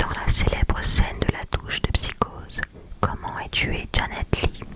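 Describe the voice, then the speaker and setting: A woman whispering at a fairly slow pace amid noticeable background noise. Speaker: ASMR creator. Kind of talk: ASMR quiz presentation, talking to the viewer. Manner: whispered, soft-spoken.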